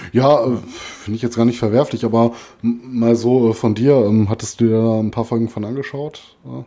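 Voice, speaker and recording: With a slight Ruhr accent, a man at medium pitch speaks at a moderate pace in a dark, mellow tone and a monotone, flat intonation. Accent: mild Ruhr dialect. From Ruhr area, Germany. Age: 40s. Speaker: metal podcast co-host. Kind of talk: casual chat.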